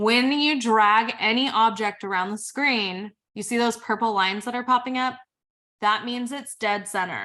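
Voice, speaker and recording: A woman speaks at a moderate pace with a fairly high pitch and a bright, sharp tone. The background is quiet. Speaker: social media trainer. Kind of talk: webinar tutorial. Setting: online webinar. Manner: casual, filler-heavy.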